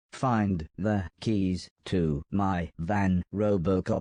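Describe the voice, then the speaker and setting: Using a put-on character voice, a man speaks very slowly at a very deep, low pitch with fairly even intonation, the sound dry and close with no echo. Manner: through gritted teeth, tense.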